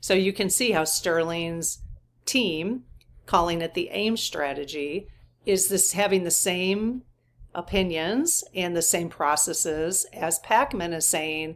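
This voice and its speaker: A woman's fairly low voice at a very slow pace, ordinary pitch variation, very clean recording and silent background. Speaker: spiritual channel host. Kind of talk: commentary monologue.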